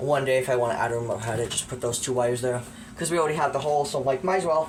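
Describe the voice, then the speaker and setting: A man talking at a very fast pace with ordinary pitch variation, amid audible room echo and noticeable background noise. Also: medium pitch for a man. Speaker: hobbyist collector showing his collection. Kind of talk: casual show-and-tell tutorial. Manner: casual, hesitant with fillers; quiet, lowered voice.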